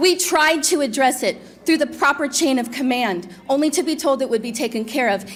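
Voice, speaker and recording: With music in the background, a woman speaks high-pitched and fairly quick, her intonation lively and hardly any pauses in between. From Venezuela. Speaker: parent speaking at public comment. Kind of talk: public comment at school board meeting. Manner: formal, composed.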